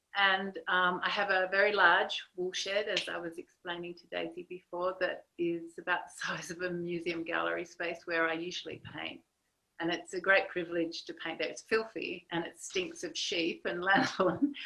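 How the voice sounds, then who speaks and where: With a strong Australian accent, a woman of medium pitch speaks in a bright, sharp tone with hardly any pauses and big swings in loudness. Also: fairly even intonation, moderate pace. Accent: broad Australian. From Australia, Sydney. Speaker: artist. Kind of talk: video interview.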